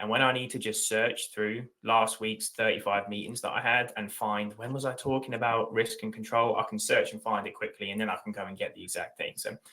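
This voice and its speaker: Here a man speaks with an English accent. His pace is fairly quick, with hardly any pauses. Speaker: tech company leader. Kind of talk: webinar panel discussion. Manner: passionate, animated.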